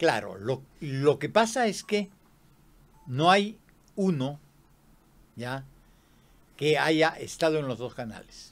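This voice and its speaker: Pitched fairly high, a man speaks very slowly with very wide pitch swings, big swings in loudness and long, frequent pauses. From Peru. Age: 80s+. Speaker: retired television producer; interview guest. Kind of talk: interview. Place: studio. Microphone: studio mic.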